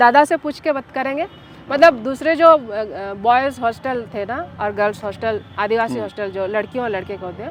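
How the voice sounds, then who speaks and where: Over music in the background, the speech moves at a moderate pace with lively intonation and big swings in loudness. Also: woman, fairly high pitch for a woman. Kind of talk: interview answer. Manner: assertive, outspoken.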